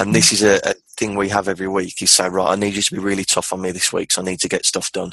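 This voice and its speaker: In a Birmingham accent, a man with a very deep, low pitch speaks at a fairly quick pace in a monotone, flat intonation, with a dry, close sound and no echo. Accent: Birmingham (Brummie) English. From Birmingham, England. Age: 20s. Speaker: entrepreneur. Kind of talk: casual chat.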